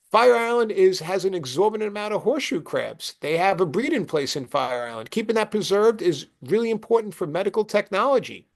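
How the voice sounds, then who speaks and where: A man with a Brooklyn accent talks at a fairly quick pace in a high pitch. The background is quiet. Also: hardly any pauses. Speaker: presenter. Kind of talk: presentation. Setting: video call. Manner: animated.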